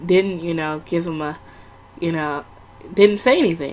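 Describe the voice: A woman speaks at a moderate pace with a fairly low pitch, a fairly bright tone and fairly even intonation.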